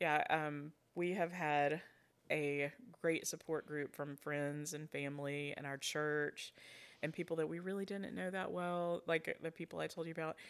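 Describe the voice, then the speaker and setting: In a very clean recording with a silent background, a woman with an Alabama accent talks at a moderate pace. Her very deep, low pitch holds fairly even intonation. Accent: Southern US (Alabama). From rural Alabama. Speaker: foster and adoptive mother. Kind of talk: casual interview.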